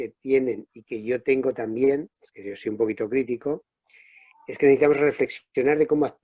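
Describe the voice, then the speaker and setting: Man at a moderate pace with a medium pitch. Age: 60s. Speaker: public sector trade unionist. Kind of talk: panel discussion. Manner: halting, self-correcting.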